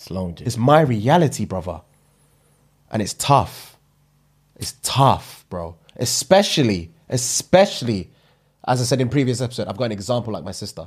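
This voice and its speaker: A man with a London accent sounds somewhat breathy, with big swings in loudness, very wide pitch swings and long, frequent pauses over a quiet background. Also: moderate pace. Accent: London multicultural English. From UK. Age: 30s. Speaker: comedy podcast co-host. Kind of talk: casual chat. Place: home room. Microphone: studio mic.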